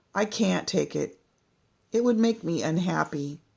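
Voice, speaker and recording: A raspy, put-on character voice, female-sounding and middle-pitched, at a moderate pace in a very clean recording with a silent background. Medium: read story.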